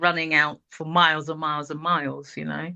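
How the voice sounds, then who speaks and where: A woman speaks with a London accent at a fairly quick pace. The background is quiet. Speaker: multidisciplinary artist. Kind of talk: casual interview conversation.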